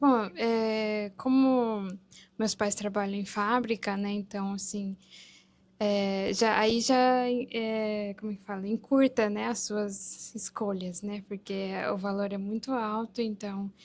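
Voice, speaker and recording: Monotone, flat delivery from a woman at medium pitch, very slowly paced. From Japan (Gunma), Brazilian family. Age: 20s. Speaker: former university student in Japan. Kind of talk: casual talk-show interview.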